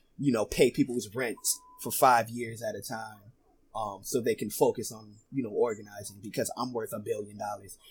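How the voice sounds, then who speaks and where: Somewhat breathy, a man speaks at a medium pitch and moderate pace with fairly even intonation and big swings in loudness. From US, North Philadelphia. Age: 20s. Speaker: rapper and producer. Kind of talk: casual interview.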